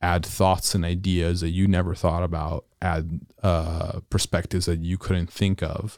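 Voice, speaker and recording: Speech comes at a fairly slow pace in a monotone, flat intonation. The sound is dry and close with no echo, on a very clean recording with a silent background. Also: man. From Italy. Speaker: podcast host, engineer. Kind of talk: casual podcast conversation.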